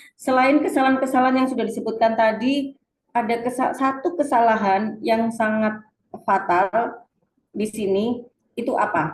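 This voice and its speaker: A woman's high voice, with ordinary pitch variation, moves along at a moderate pace. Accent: strong Surabaya. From Indonesia, Surabaya (East Java). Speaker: reading teacher / webinar presenter. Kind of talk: webinar lecture. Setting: online webinar.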